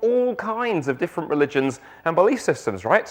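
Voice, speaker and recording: Pitched high for a man, this speaker's voice swings very widely in pitch as he talks in a South London accent. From South London, England. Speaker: guest preacher. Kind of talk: sermon.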